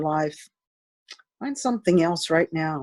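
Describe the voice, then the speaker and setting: With a fairly low pitch, a woman uses lively intonation at a moderate pace. It is a normal speaking voice. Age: 60s. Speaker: dancer and dance department director. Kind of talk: interview.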